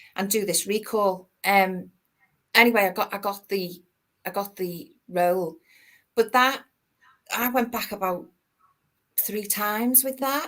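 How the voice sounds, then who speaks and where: A woman with a Liverpool accent at medium pitch, fairly slow and fairly even in intonation, with long, frequent pauses. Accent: Liverpool (Scouse). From Liverpool, England. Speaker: actor. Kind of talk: interview chat. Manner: halting, many repeated words.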